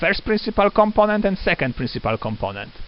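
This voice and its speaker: A man speaks with a non-native accent. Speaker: lecturer. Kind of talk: lecture. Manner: halting, many fillers.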